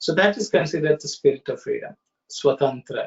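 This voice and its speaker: This man's voice is somewhat breathy. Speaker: study circle facilitator. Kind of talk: online study discussion. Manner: halting; soft-spoken.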